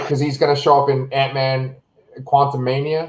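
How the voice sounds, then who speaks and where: Moderate pace and fairly high pitch from a somewhat breathy man. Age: 30s. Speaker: podcast host, Marvel show reviewer. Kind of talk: casual chat. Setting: video call from his kitchen.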